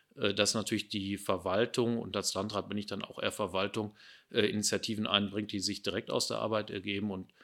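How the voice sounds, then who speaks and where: A man's bright, sharp, fairly low voice in a flat monotone at a moderate pace, recorded very cleanly against a silent background. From Ruhr area, Germany. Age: 50s. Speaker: district administrator, politician. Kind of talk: interview.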